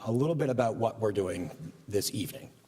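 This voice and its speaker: At a moderate pace, a man with a normal speaking voice talks at a medium pitch. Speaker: rabbi. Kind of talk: religious service remarks. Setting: synagogue service, live broadcast.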